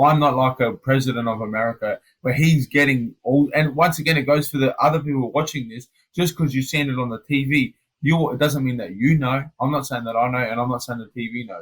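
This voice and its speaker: Speaking at a fairly quick pace, a man with an Australian accent has a medium pitch and a somewhat breathy voice. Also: ordinary pitch variation. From Australia, Adelaide. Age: 30s. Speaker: MMA fighter. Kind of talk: casual interview chat. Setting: hotel quarantine room. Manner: animated.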